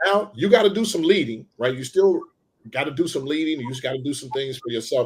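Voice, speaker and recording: In an American accent, a man with a fairly high, somewhat breathy voice talks fairly quickly with lively intonation and big swings in loudness. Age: 60s. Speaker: pastor. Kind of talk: casual interview conversation. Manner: animated.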